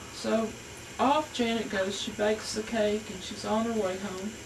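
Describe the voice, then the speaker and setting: A woman speaks with fairly even intonation at a fairly high pitch. Noticeable background noise can be heard. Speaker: storyteller. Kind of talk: folk tale storytelling. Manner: casual, conversational.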